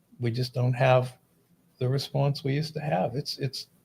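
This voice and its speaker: A man with an American accent talks at a fairly slow pace in a medium pitch. His somewhat breathy voice has fairly even intonation. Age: 60s. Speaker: fire chief, podcast co-host. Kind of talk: casual chat.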